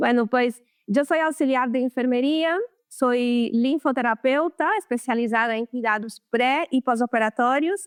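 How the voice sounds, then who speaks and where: A woman with a Brazilian accent speaks at a fairly slow pace in a high voice, her loudness very even and her pitch varying in an ordinary way, with a dry, close sound and no echo. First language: Portuguese (speaking Spanish). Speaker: lymphatic therapist. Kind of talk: interview.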